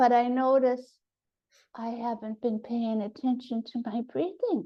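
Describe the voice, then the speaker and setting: Speaking at a fairly slow pace, a woman uses a high pitch and fairly even intonation. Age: 70s. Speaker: spiritual group participant. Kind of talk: group sharing, personal introduction.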